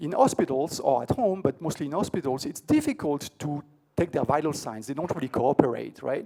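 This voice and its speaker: Fairly high pitch for a man with a dark, mellow tone and ordinary pitch variation, over a quiet background. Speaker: tech conference keynote speaker; conference presenter. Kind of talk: conference talk. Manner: fast; hesitant, many fillers and repeats. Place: hall.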